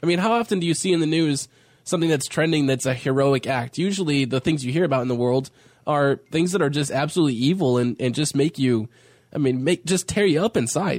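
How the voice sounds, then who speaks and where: Speaking at a very fast pace, a man with a fairly high pitch keeps his loudness very even and his pitch variation ordinary. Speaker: radio host. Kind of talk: casual radio chat.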